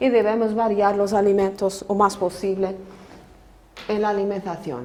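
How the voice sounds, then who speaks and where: A woman with a non-native accent speaks at a medium pitch and a fairly slow pace. There is noticeable background noise and audible room echo. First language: Portuguese (speaking Spanish). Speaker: nutrition professor. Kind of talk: lecture. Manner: halting.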